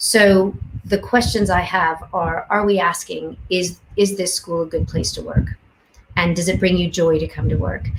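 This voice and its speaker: A woman with a Canadian accent speaks at a moderate pace against noticeable background noise. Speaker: education researcher. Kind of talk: panel discussion.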